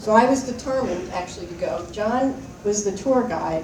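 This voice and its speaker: A woman talks at a moderate pace. Room echo is audible, and background noise is noticeable. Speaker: alumna, former student leader. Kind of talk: reunion speech. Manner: soft-spoken; casual, rambling with fillers.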